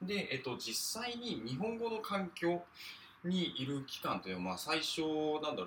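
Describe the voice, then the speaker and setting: A man talks while noticeable background noise plays underneath. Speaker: podcaster. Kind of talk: solo monologue. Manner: hesitant, many fillers.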